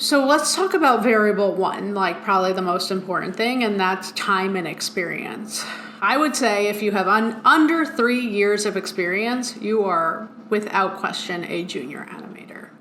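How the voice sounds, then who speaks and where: With a Long Island accent, a woman of medium pitch speaks at a moderate pace with lively intonation, amid noticeable background noise and audible room echo. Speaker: motion design studio veteran, podcast co-host. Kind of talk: casual chat.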